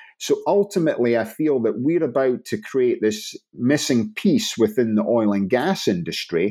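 Speaking in a Scottish accent at a moderate pace, a man with a medium-pitched, dark, mellow tone swings his pitch very widely, captured in a very clean recording with a silent background. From northern Scotland, Inverness. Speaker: blockchain startup founder. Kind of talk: interview.

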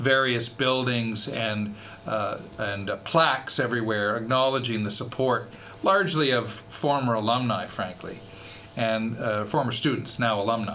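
A man talks at a moderate pace with a Canadian accent, his medium pitch showing ordinary variation. Noticeable background noise and audible room echo fill the recording. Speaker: university fundraising executive. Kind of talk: radio interview. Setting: radio studio.

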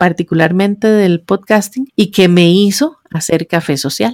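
Using an ordinary speaking voice, a woman at a medium pitch talks at a moderate pace with ordinary pitch variation. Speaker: podcaster and digital marketing blogger. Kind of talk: interview.

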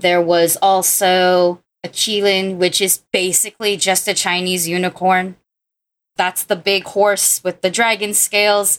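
A woman with a medium-pitched voice speaks fairly slowly, her loudness staying very even throughout. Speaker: video game designer. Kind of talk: casual chat. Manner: animated.

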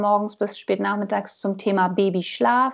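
In an ordinary speaking voice, a woman talks at a fairly slow pace and a medium pitch. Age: 30s. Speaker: trainee postpartum carer. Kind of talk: interview.

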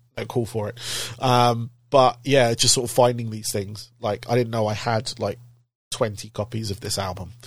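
A man with a medium-pitched, somewhat breathy voice speaks at a moderate pace in a monotone, flat way, recorded very cleanly against a silent background. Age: 40s. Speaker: podcast host. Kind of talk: casual interview chat.

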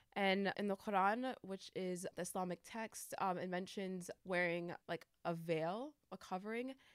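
With an American accent, this is a plain, everyday voice showing ordinary pitch variation. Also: woman, medium pitch for a woman. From upstate New York. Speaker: youth program coordinator. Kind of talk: casual interview.

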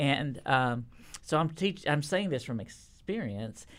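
This man talks at a moderate pace with a Texan accent and a fairly high pitch. His intonation is lively. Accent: Texan Southern US. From Texas. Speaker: children's curriculum publishing manager. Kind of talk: casual interview.

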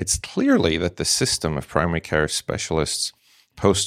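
A man with a slight British accent speaks in a very deep, low voice, captured dry and close with no echo against a very clean, silent background. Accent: slight British Isles. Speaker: emergency physician. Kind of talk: expert interview.

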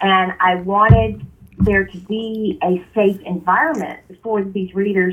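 At a fairly slow pace, a woman speaks with medium pitch. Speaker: romance author. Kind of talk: interview answers. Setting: remote recording, poor audio.

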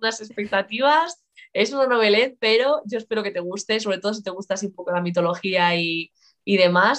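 Using a normal speaking voice, a woman moves at a fairly quick pace, her intonation lively. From Galicia, Spain (Lugo). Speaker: writer and biology teacher. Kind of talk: casual interview chat. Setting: live stream.

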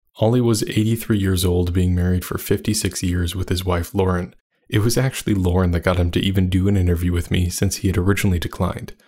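Very deep and low in pitch, a man talks at a very fast pace with hardly any pauses, a somewhat breathy sound and fairly even intonation. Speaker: podcast host. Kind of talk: scripted narration. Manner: formal.

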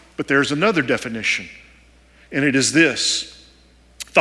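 Over noticeable background noise, a man with a Texan accent talks at a fairly high pitch. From Texas. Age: 40s. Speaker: preacher, former army chaplain. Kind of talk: sermon. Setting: church service.

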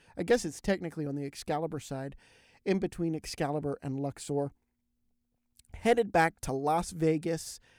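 Recorded very cleanly with a silent background and a dry, close sound with no echo, a man with an American accent talks at a fairly quick pace in an unremarkable speaking voice. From Pennsylvania. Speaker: podcast host. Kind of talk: interview; podcast intro/outro.

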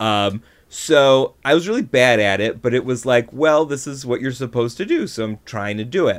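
A man with an American accent, in an ordinary speaking voice, talks at a moderate pace with hardly any pauses on a very clean recording with a silent background. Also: medium pitch for a man, ordinary pitch variation. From Buffalo, New York. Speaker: comedy writer and performer. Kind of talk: casual chat.

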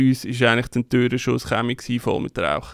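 Dry and close with no echo, the recording catches a man with an unremarkable speaking voice talking at a medium pitch and moderate pace. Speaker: DJ and podcast co-host. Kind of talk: casual chat. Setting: studio.

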